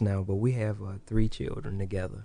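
The man speaks with an American accent. His tone is dark and mellow. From Illinois (Hopkins Park, near Kankakee). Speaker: barber and barber school owner. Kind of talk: casual interview.

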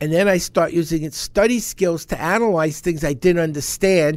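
In a very clean recording with a silent background, a man speaks at a high pitch. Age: 70s. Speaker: speed reading instructor. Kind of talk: interview. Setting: studio.

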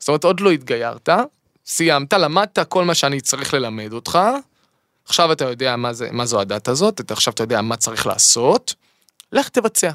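The sound is dry and close with no echo as a man speaks at a fairly high pitch with lively intonation. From Israel, Eilat. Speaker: singer and songwriter. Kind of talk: casual chat. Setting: studio. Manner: halting with repetitions.

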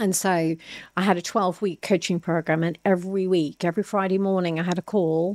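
Monotone, flat delivery from a woman at medium pitch, with an Irish accent, a moderate pace, dry, close sound with no echo, and a very clean recording over a silent background. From Ireland. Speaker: entrepreneur and former athlete. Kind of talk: interview.

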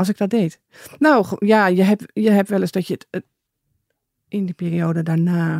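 In a dry, close sound with no echo, a woman of medium pitch speaks at a fairly slow pace with ordinary pitch variation and long, frequent pauses. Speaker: bereaved mother. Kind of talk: interview.

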